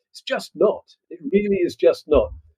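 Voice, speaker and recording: A man is speaking. He has a Scottish accent. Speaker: agritech company CEO. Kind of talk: podcast interview.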